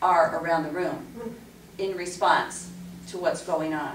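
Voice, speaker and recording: A woman speaks at a fairly slow pace over light background noise, with audible room echo. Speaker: class instructor. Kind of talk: lecture. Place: meeting room.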